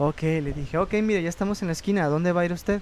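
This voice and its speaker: Man with a plain, everyday voice, fairly even intonation and a fairly quick pace. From Mexico, Puerto Vallarta. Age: 20s. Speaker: church music ministry member. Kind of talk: casual chat.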